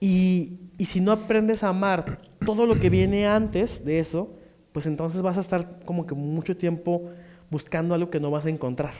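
A man's high voice at a moderate pace, with fairly even intonation. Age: 20s. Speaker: podcast co-host, actor and stand-up comedian. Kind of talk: casual chat.

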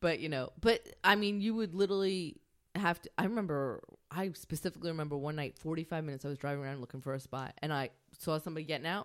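Speaking very fast with a Long Island accent, a woman uses a very deep, low voice with ordinary pitch variation. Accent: Long Island New York. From Long Island, New York. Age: 20s. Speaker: comedian. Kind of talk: casual chat, podcast interview.

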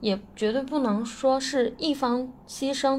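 With audible room echo, a woman talks in a high voice with ordinary pitch variation. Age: 20s. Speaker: listener contributor, software worker. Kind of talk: recorded personal testimony.

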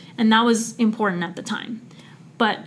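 A woman talks at a fairly quick pace in a fairly high pitch. Her voice is somewhat breathy, with ordinary pitch variation. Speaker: graduate student podcast co-host. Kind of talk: casual chat and interview.

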